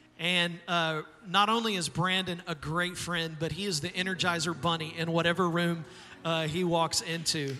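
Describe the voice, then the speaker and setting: A man's high-pitched voice, flat and monotone, at a moderate pace. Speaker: pastor. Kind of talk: church service introduction and prayer. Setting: church with live audience.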